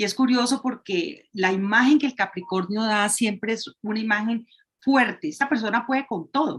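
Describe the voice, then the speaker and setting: Somewhat breathy speech at a moderate pace, with ordinary pitch variation. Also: woman, fairly high pitch for a woman. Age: 50s. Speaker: astrology program guest. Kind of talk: casual interview. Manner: halting, with repetitions.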